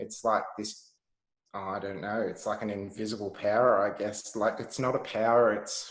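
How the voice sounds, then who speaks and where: A man with an Australian accent speaks in a fairly low pitch with monotone, flat intonation. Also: moderate pace. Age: 30s. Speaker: health entrepreneur. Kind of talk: casual chat.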